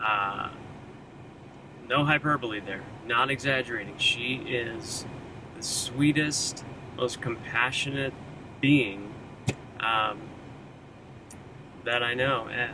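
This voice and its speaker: Noticeable background noise sits behind a man speaking at a medium pitch with fairly even intonation. His pace is very slow, broken by long, frequent pauses. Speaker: vegan video creator. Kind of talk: casual talk to camera.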